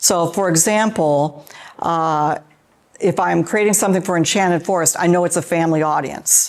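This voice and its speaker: At a moderate pace, a woman with an American accent talks in a fairly low pitch with ordinary pitch variation. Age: 60s. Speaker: theme park co-director and musician. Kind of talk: interview conversation.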